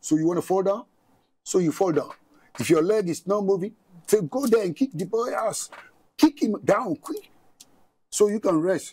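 A man's high-pitched, dark, mellow voice at a moderate pace, with lively intonation and long, frequent pauses. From Ghana. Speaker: boxing coach; coach, guest. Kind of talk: studio interview. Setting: studio. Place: studio. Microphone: lapel.

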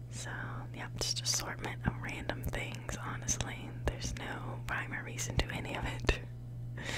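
Through loud background noise, a soft-spoken woman is whispering at a fairly slow pace. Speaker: college student living in a dorm. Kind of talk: ASMR dorm tour, casual talk to camera. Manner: whispered, soft, relaxing. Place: home room. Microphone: phone near.

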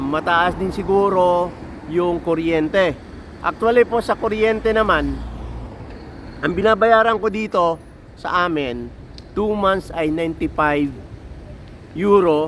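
A man talks at a high pitch with ordinary pitch variation. His pace is very slow, with long, frequent pauses. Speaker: truck mechanic and vlogger. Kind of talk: casual vlog monologue. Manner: halting, many fillers.

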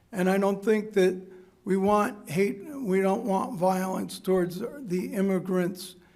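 A man with an American accent at a high pitch and very slow pace, fairly even in intonation, with noticeable background noise and audible room echo. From USA. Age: 70s. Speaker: public commenter at school board meeting. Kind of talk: public comment speech. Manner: halting.

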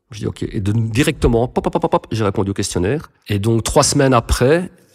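Using a normal speaking voice, a man talks at medium pitch and a moderate pace with ordinary pitch variation. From Belgium, Brussels suburbs. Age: 40s. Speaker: recovering addict, content creator. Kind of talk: testimony.

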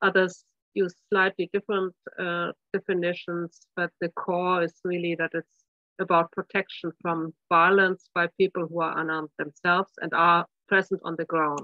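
A flat, monotone delivery at a moderate pace, dry with no echo, over a quiet background. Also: woman, fairly low pitch for a woman. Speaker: presenter. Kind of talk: lecture. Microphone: video call.

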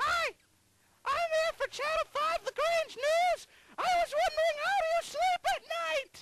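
A put-on character voice at an extremely high pitch, with very wide pitch swings and a fairly slow pace. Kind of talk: comic overacting. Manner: pleading, pestering.

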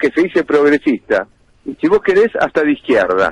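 A man speaks at a fairly quick pace in a high pitch for a man, his pitch swinging very widely, over a quiet background with a dry sound and no echo. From Argentina. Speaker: politician. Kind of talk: radio interview. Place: studio.

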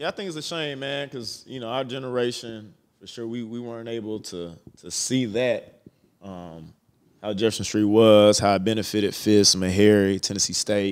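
Big swings in loudness mark this man's unremarkable speaking voice, fairly low in pitch with ordinary pitch variation, at a moderate pace. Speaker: podcast host. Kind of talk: casual interview.

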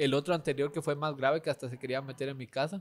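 The man's voice sits at a fairly high pitch. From Guatemala. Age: 20s. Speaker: content creator; podcast guest, content creator. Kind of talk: casual chat. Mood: relaxed, anecdotal storytelling. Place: cafe. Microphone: studio mic.

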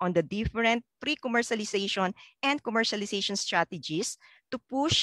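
With a dry sound, no echo and a quiet background, a woman speaks at a moderate pace with ordinary pitch variation. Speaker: event host. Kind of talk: formal emcee opening remarks. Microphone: headset.

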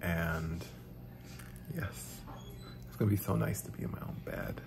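Background noise is clearly audible. Over it, a man speaks at a medium tempo. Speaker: vlogger. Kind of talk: casual vlog chat. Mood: happy, relieved. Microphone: phone near.

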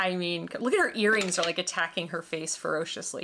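Light background noise sits behind a woman speaking in a bright, sharp tone. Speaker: doll review vlogger. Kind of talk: casual vlog chat. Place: home room.

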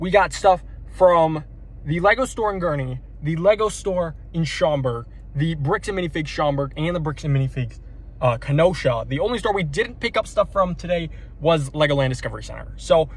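Speaking at a fairly quick pace with ordinary pitch variation, a man comes through in a dry sound with no echo. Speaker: LEGO vlogger. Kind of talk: casual vlog chat. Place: car. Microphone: phone near.

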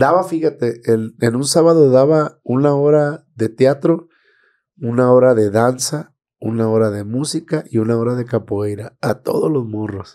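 Against a quiet background, a man talks at a fairly slow pace. His voice has a dark, mellow tone. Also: ordinary pitch variation. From Mexico, Villa Hidalgo, Nayarit; Nayarit, Mexico. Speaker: teacher and band singer; teacher. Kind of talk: casual chat. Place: studio. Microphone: studio mic.

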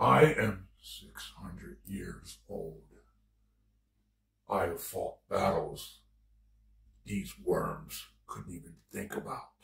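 In a put-on character voice, a man speaks raspily at a very slow pace. Long, frequent pauses break up his speech. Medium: role play. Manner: menacing.

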